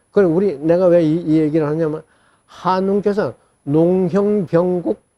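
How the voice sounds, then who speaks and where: At a fairly slow pace, a man with a high-pitched voice speaks with fairly even intonation. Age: old. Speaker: ancient history storyteller. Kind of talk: interview answer.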